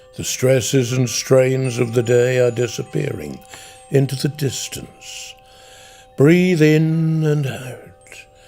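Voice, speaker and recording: Speaking very slowly with music in the background, a man with a Norfolk accent keeps a medium pitch. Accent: soft Norfolk burr. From Norfolk, England. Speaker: broadcaster. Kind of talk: sleep story. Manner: gentle, soothing, slow.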